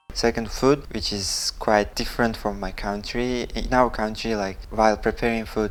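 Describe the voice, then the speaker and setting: A man speaks at a moderate pace with an Uzbek accent and hardly any pauses. His medium-pitched voice stays monotone and flat. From Uzbekistan. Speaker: expat guest. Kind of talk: casual chat.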